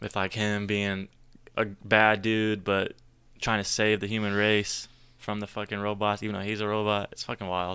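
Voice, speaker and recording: On a very clean recording with a silent background, a man with an American accent speaks at a moderate pace in a fairly low, bright, sharp voice with monotone, flat intonation. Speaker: brewery social media manager. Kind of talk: casual chat.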